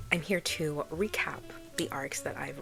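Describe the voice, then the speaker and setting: Soft-spoken, a woman talks at a very slow pace with lively intonation. Noticeable background noise is present. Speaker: book reviewer. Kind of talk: casual chat. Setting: at home.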